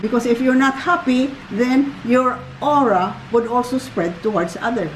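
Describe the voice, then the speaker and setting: A woman with a high-pitched voice talks while noticeable noise fills the background. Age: 70s. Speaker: grandmother. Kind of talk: casual chat.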